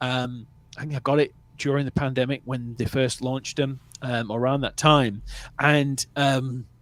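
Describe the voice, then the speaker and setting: A man speaks with a northern English accent. His intonation is monotone and flat, and his pace is moderate. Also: medium pitch for a man. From northern England. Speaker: movie review livestream host. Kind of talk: casual chat. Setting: livestream. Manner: relaxed.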